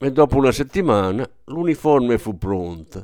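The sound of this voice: Lively intonation in an unforced reading voice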